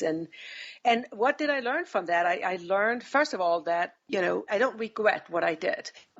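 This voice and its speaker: A woman speaks with a Danish accent at a moderate pace. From Denmark. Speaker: business executive. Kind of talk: interview. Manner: hesitant, with fillers.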